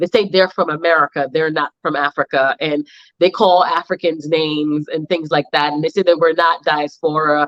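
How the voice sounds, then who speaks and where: A woman's very deep, low voice at a moderate pace. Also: dry, close sound with no echo. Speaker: fashion entrepreneur and event organizer. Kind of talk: panel discussion. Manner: animated.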